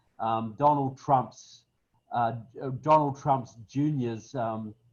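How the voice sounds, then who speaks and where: A man with a southern New Zealand accent speaks at a very slow pace, his medium-pitched voice following a fairly even intonation. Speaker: political speaker. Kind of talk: webinar talk. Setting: webinar, online.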